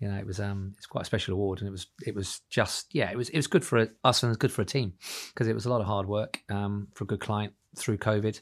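In a very clean recording with a silent background, a man talks at a very fast pace with fairly even intonation. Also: fairly low pitch for a man. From Ireland. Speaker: managing director of a landscaping company. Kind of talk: casual interview.

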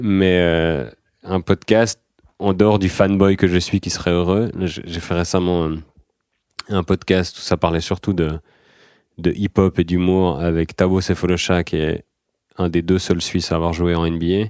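A man with a very deep, low voice speaks fairly slowly in a flat monotone, leaving long, frequent pauses. The recording is very clean and dry, with a silent background, a close sound and no echo. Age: 30s. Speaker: comedian. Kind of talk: casual chat.

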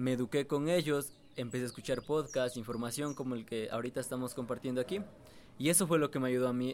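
A man with a medium pitch and ordinary pitch variation talks fairly quickly. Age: 20s. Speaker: young trader and online entrepreneur. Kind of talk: casual interview.

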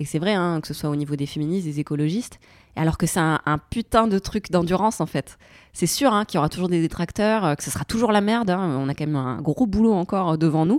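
This woman talks at a very fast pace in a fairly low pitch. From southern France. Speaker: YouTuber and urban gardening activist. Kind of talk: casual chat.

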